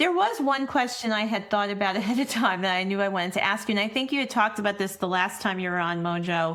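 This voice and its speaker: A woman's medium-pitched voice at a very fast pace, with hardly any pauses and ordinary pitch variation. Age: 50s. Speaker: podcast host and women's leadership coach. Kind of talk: podcast interview conversation.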